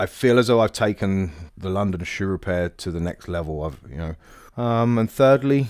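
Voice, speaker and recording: A man in an East Anglian accent, moderate pace and lively intonation, in a very clean recording with a silent background. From East Anglia, England (Bury St Edmunds). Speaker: cobbler and shop owner. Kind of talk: interview storytelling. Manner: casual, with fillers.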